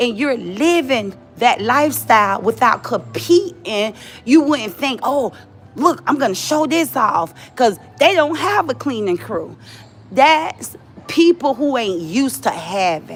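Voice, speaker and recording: Over music in the background, a woman speaks loudly in a high pitch with very wide pitch swings. Her tone is animated, though her pace is fairly slow. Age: 40s. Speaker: live streamer. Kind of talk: casual chat. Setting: livestream.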